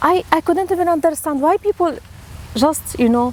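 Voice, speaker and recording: Noticeable background noise sits behind a woman with an Arabic accent whose pitch swings very widely. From Syria. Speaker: theatre teacher and actor. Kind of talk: personal storytelling interview. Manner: halting, with frequent fillers and repeats.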